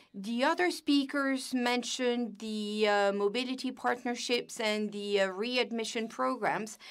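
With an ordinary speaking voice, a woman talks at a fairly slow pace with hardly any pauses, her pitch fairly high and ordinarily varied against a quiet background. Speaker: simultaneous interpreter; panelist. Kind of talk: simultaneous interpretation. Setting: video call. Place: office.

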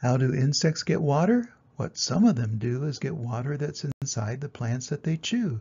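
A man's voice, slightly mellow in tone with a slightly husky edge

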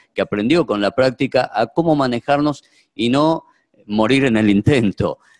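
A man with a Rioplatense accent at a moderate pace, ordinary pitch variation, quiet background. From Argentina. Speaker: doctor, moderator; moderator. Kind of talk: moderating a video conference. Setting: video call. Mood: warm, reminiscing. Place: hall. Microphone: podium.

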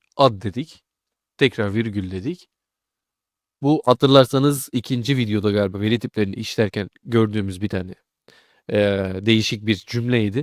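A man with a normal speaking voice and a fairly low pitch talks at a moderate pace with ordinary pitch variation. The recording is very clean with a silent background and a dry, close sound with no echo. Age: 20s. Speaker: programming tutor. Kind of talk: tutorial. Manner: casual.

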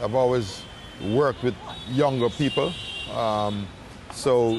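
A man at a moderate pace with ordinary pitch variation, dry sound with no echo and light background noise. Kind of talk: interview answer. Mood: calm, reflective. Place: waterside.

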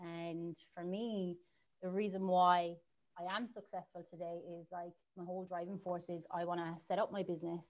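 A woman speaks at a moderate pace with an Irish accent, her pitch fairly low. Her intonation stays flat and monotone over light background noise. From Ireland. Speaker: marketing agency owner; guest. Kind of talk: interview. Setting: livestream. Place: home room. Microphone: video call.

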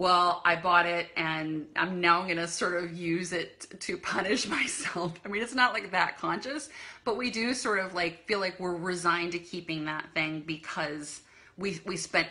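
At a moderate pace, a woman talks with a fairly low pitch and ordinary pitch variation. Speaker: decluttering coach. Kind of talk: casual vlog chat. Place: home room. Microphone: phone near.

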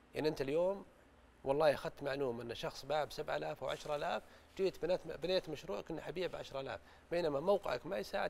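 A man talks at a fairly quick pace. His intonation is lively over light background noise. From Saudi Arabia. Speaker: business growth consultant; guest. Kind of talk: studio talk show interview. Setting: studio. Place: studio. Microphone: lapel.

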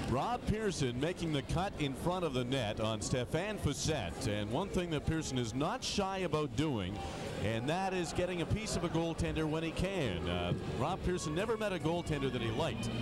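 Over loud background noise, a man speaks in a relaxed tone at a moderate pace and fairly high pitch, with very wide pitch swings, very even loudness and a dry sound with no echo. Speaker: hockey colour commentator. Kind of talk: sports commentary. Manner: conversational, relaxed, joking.

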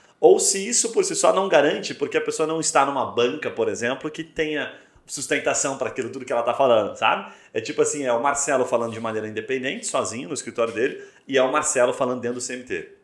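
A man speaks at a very fast pace. The background is quiet, with audible room echo. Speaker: podcast host. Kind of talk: podcast interview. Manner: casual. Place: studio.

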